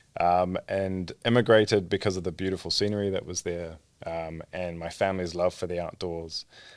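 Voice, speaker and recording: A man with a New Zealand accent speaks at a moderate pace in a very deep, low pitch. His intonation is monotone and flat, in a very clean recording with a silent background. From New Zealand (born in Egypt). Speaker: startup founder and CEO, trained pharmacist. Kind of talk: podcast interview.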